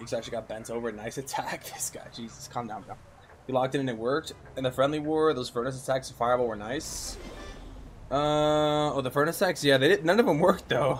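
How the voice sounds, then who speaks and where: A man at a medium pitch, very fast pace, ordinary pitch variation and big swings in loudness. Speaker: gaming streamer. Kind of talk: live gameplay stream chat. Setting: live stream. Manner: animated.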